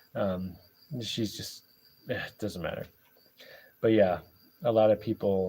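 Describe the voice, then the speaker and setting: A man speaks fairly slowly with a dark, mellow tone and fairly even intonation. He leaves long, frequent pauses, and his loudness swings a lot. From Canada, suburbs. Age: 40s. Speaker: YouTuber. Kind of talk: casual livestream Q&A.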